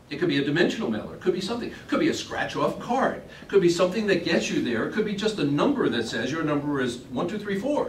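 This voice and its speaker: Noticeable background noise and audible room echo surround a man whose high voice moves through very wide pitch swings. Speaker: seminar presenter on promotional products. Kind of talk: presentation to a trade show audience. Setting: classroom at a trade show. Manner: fast.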